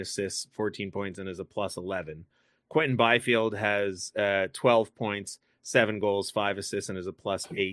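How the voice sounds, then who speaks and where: A fairly low-pitched man with a bright, sharp tone, at a moderate pace against a quiet background. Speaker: podcast host. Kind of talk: casual chat.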